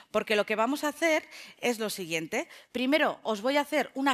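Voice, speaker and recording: On a very clean recording against a silent background, the speech moves at a fairly quick pace. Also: woman. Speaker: sociologist. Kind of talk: lecture. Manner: fast; animated.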